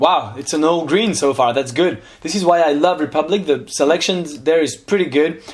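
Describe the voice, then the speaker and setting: Over noticeable background noise, a man with a French accent talks at a moderate pace and a high pitch. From France. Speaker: investment youtuber. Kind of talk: casual analysis commentary. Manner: hesitant, many fillers.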